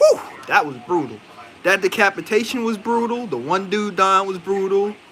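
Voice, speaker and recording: Noticeable background noise sits behind a man speaking at a moderate pace. His pitch is high, with ordinary variation. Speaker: movie reviewer. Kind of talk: casual live stream review. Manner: casual, rambling with fillers.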